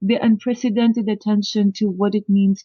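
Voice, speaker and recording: The speaker is a woman with a Russian accent. She talks at a moderate pace. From Soviet Union. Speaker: professor of linguistics. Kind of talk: interview.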